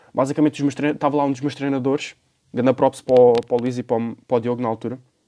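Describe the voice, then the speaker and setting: Talking at a very fast pace, a man with a European Portuguese accent has a dark, mellow tone at medium pitch, recorded with a dry, close sound and no echo. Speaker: podcast host. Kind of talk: casual monologue. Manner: animated.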